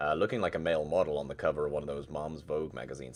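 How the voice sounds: Extremely low in pitch, a man talks at a very fast pace with ordinary pitch variation. The recording is very clean with a silent background.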